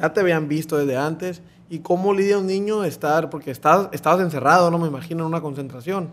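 Speaking at a very fast pace, a man keeps a fairly high pitch and fairly even intonation. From Mexico. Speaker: podcast host. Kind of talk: casual interview. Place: studio. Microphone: studio mic.

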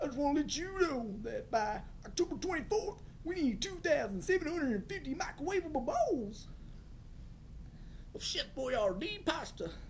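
The speaker uses a put-on character voice at a moderate pace. Long, frequent pauses come through over clear background noise.

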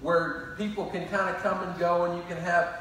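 Speaking at a moderate pace, a man uses a high-pitched voice. There is strong room echo and light background noise. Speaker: pastor. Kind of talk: sermon announcements to the congregation. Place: church.

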